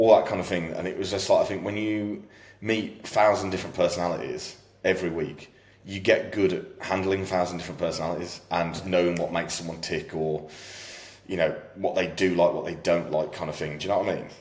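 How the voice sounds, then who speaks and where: A man with a British accent at a very fast pace, with audible room echo and noticeable background noise. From UK. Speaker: fitness coach. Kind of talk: casual chat. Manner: loud.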